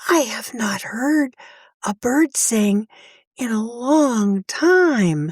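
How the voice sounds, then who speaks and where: Soft-spoken and high-pitched, a woman uses a put-on character voice. She speaks at a very slow pace. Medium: read story. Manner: slow, soft.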